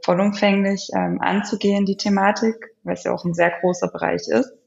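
A woman with a medium pitch and a somewhat breathy voice speaks at a fairly quick pace with fairly even intonation. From Germany. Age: 30s. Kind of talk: interview. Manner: hesitant, many filler sounds.

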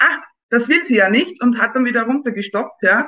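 A woman with an Austrian accent talks at a fairly quick pace, her pitch rising and falling in an ordinary way. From Upper Austria. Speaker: dating experience guest. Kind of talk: casual interview. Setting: studio.

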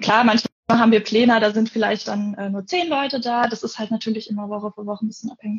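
A woman's fairly high, somewhat breathy voice carries fairly even intonation. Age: 20s. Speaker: forestry student and camp volunteer. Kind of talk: casual interview. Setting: Instagram live video call.

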